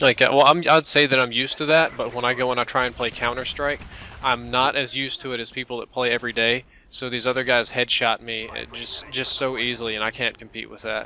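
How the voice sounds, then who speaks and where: Delivered at a very fast pace, the speech has monotone, flat intonation over noticeable background noise. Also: man, medium pitch for a man. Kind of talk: gaming commentary.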